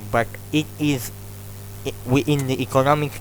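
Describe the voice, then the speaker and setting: Over music in the background, a man talks at a fairly slow pace with a medium pitch. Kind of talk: extempore speech practice. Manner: slow, clear.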